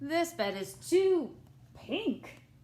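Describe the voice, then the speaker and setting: A female-sounding voice uses a put-on character voice. It sits at a high pitch. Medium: read story.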